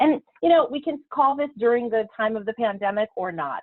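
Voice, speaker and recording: The speaker is a woman. Her voice has a fairly high pitch. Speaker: productivity consultant. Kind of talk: webinar presentation. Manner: fast.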